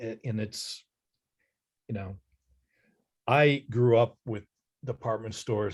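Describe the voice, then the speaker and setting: A man's medium-pitched, somewhat breathy voice with an American accent, moderate pace and fairly even intonation over a quiet background. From Ohio, Dayton. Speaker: author. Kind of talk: presentation Q&A.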